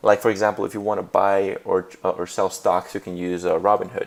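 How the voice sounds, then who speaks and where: The speaker has a Spanish accent and keeps a moderate pace. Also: man. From Puerto Rico. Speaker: graduate student. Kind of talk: class presentation. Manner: hesitant, many fillers.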